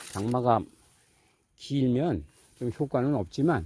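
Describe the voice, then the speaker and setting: With ordinary pitch variation, the man speaks at a medium pitch. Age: 60s. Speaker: farmer. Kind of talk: casual farming vlog. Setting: outdoors in a sesame field. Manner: casual, conversational.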